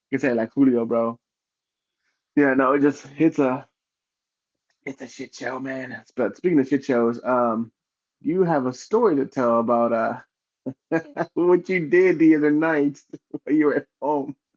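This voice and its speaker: A man with a Spanish accent speaks at a moderate pace and a fairly high pitch with ordinary pitch variation, taking long, frequent pauses in a dry, close sound with no echo. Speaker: podcast co-host. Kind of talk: casual chat.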